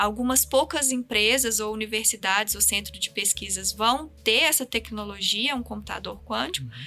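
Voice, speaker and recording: Moderate pace with hardly any pauses. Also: woman. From Minas Gerais, Brazil. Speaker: physics professor. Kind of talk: science podcast interview.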